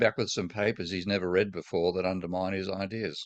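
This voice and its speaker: Over a quiet background, a man with an Australian accent speaks at a fairly quick pace, his pitch very deep and low. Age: 70s. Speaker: economics professor. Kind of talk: interview conversation. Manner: halting, many false starts.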